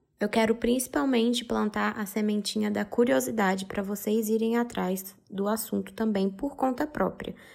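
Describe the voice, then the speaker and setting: A woman speaks with a fairly high pitch at a moderate pace. The recording is very clean, with a silent background. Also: ordinary pitch variation, hardly any pauses. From Brazil. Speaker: podcast host, mother. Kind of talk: informative podcast monologue.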